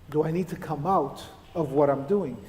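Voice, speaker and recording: A man is talking, and his pitch rises and falls in a normal way. There is noticeable noise in the background. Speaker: church elder and physician delivering a sermon. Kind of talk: sermon to a congregation.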